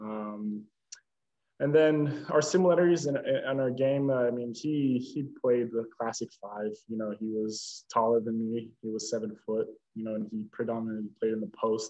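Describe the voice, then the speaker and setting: Dark, mellow tone in an American accent at a moderate pace. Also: man, medium pitch for a man, ordinary pitch variation. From US, Serbian family. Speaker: college basketball player. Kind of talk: press conference. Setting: video call.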